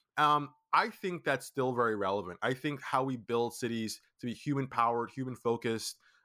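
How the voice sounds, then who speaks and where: A man's bright, sharp tone and fairly even intonation come through on a very clean recording with a silent background. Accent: American. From Brooklyn, New York. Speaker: startup founder. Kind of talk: interview.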